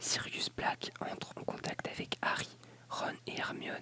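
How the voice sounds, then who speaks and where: Someone whispers over noticeable background noise. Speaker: ASMR creator. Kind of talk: ASMR reading of encyclopedia article. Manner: whispered; soft-spoken, relaxing.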